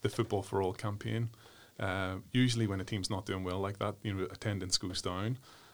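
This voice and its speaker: Speaking with a Northern Irish accent, a man uses a fairly low pitch and fairly even intonation. The recording is very clean and the background silent. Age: 40s. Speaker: human rights commission worker, former football development director. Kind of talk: interview. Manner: hesitant, many fillers.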